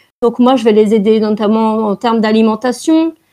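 A woman's fairly high voice, dark and mellow in tone, with fairly even intonation at a moderate pace. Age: 20s. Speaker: naturopath. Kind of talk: interview.

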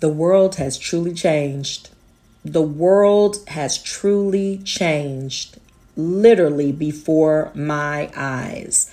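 A woman speaks, her pitch varying in an ordinary manner. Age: 40s. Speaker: podcast host. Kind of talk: casual monologue. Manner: laughs often.

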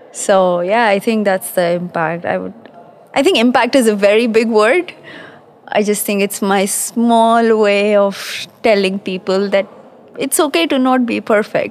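Through noticeable background noise, a woman speaks fairly slowly at a fairly high pitch with ordinary pitch variation. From Pakistan. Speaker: quality engineering manager. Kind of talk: conversational interview. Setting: live at a conference.

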